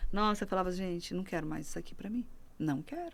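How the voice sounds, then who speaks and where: In a northern Brazilian accent, a woman talks at a medium pitch. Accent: northern Brazilian, sing-song and slower. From Brazil, Rondônia (Porto Velho). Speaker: pastor. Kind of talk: testimony.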